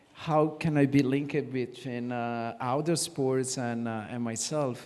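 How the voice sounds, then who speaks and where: A man speaks with an Italian accent. His intonation stays fairly even. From Italy. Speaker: sports company executive. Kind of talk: panel discussion. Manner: halting.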